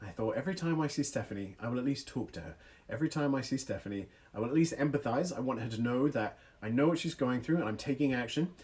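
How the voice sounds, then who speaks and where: Speaking at a very fast pace, a man with a medium pitch sounds somewhat breathy and shows ordinary pitch variation. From England, small village; moved to US as child. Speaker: youth speaker. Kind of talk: livestream talk with storytelling. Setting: online livestream. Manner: animated.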